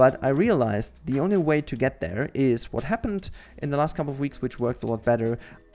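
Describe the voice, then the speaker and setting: Speaking very fast in a German accent, a man uses lively intonation at a medium pitch. The recording is very clean with a silent background. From western Germany. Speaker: gaming YouTuber. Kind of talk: casual monologue, podcast-style channel update. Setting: home recording over gameplay. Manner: halting, with many fillers and restarts.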